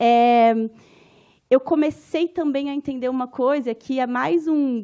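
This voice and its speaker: Against a quiet background, a woman with a Minas Gerais accent speaks at a high pitch in a dark, mellow tone. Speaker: anthropologist and professor. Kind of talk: conference lecture. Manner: informal, conversational.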